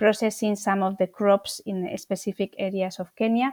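Speaking with a Spanish accent, a woman keeps a moderate pace and medium pitch. The recording is very clean with a silent background and a dry, close sound with no echo. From Spain. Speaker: charity founder and CEO. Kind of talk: interview. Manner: halting.

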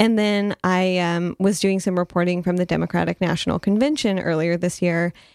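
An ordinary speaking voice with an American accent moves at a moderate pace. The sound is dry and close, with no echo. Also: woman. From Detroit. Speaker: radio host. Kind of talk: casual interview.

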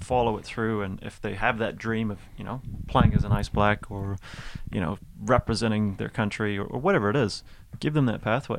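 A man with a Canadian accent in a normal speaking voice, fairly low in pitch, at a fairly quick pace with fairly even intonation. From Canada, Mississauga, Ontario (Toronto area). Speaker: ice hockey coach and former player, school teacher. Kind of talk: casual interview chat.

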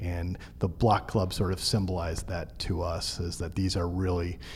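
Somewhat breathy, a man speaks at a fairly slow pace with a very deep, low pitch and a dark, mellow tone. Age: 40s. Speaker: news editor and media co-founder. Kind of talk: interview. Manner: halting, many fillers and repeats.

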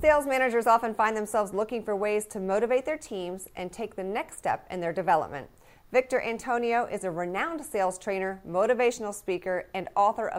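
Recorded very cleanly against a silent background, a woman uses a normal speaking voice at a fairly quick pace, her pitch fairly high with ordinary variation. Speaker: news anchor. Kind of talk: news reading, polished scripted broadcast delivery. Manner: formal, steady, crisp and even-paced.

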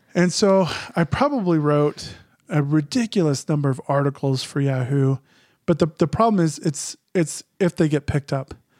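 A man with an American accent has an unremarkable speaking voice at a fairly high pitch, with ordinary pitch variation and very even loudness at a moderate pace. The recording is very clean with a silent background and a dry, close sound with no echo. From Phoenix, Arizona. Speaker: writer. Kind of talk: interview.

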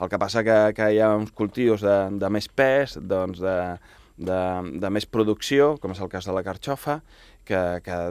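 In a very clean recording with a silent background, a man with a fairly low pitch speaks at a fairly slow pace with ordinary pitch variation. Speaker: chef and restaurant owner. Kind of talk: radio interview. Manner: hesitant, repeats words.

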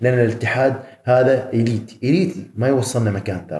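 The tone is dark and mellow, and somewhat breathy. Room echo can be heard. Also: man. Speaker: professional bodybuilder. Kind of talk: casual interview. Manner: animated.

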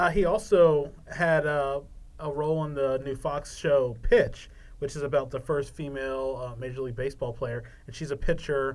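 Speaking in an American accent with a plain, everyday voice, a man talks at a moderate pace and fairly high pitch, with fairly even intonation and big swings in loudness. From Maryland, Eastern Shore (Salisbury). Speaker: sports producer, game show contestant. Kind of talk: casual chat.

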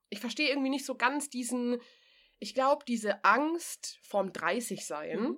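The speaker uses lively intonation while talking at a fairly slow pace. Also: woman, high pitch for a woman. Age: 30s. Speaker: podcast co-host. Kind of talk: casual chat. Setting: remote call with co-host.

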